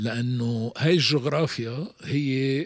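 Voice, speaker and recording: A man with a Lebanese accent speaks at a fairly high pitch against a quiet background. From Lebanon, Beirut; Lebanon. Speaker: strategic communication expert; podcast guest. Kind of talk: interview; interview answer. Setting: studio. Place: studio. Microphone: studio mic.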